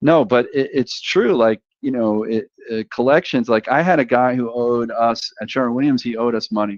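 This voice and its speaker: A Brooklyn-accented man at a moderate pace with hardly any pauses, ordinary pitch variation and a dry, close sound with no echo. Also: medium pitch for a man. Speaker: sales professional. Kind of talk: casual chat.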